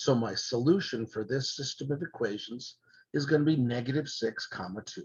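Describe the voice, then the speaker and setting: A man speaks at a fairly high pitch, somewhat breathy, with ordinary pitch variation. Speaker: math teacher. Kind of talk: lecture. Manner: fast.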